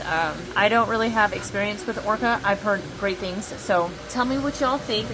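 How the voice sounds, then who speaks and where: A woman speaks at a moderate pace with a fairly high pitch. Her pitch varies in an ordinary way, and noticeable background noise runs beneath her. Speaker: 3D print shop owner vlogger. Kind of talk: casual vlog. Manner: shouting over machine noise; animated.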